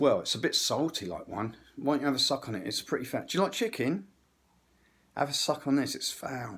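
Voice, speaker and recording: With an English accent, a man talks at a fairly quick pace in a fairly high pitch, with vocal fry in his voice. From England. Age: 60s. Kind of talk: rambling monologue. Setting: kitchen. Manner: animated.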